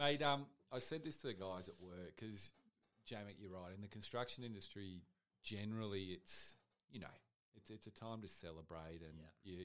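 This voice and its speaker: With an Australian accent, a man speaks at a moderate pace and fairly low pitch. His intonation is lively, broken by long, frequent pauses. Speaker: podcast producer. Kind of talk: casual chat. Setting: studio.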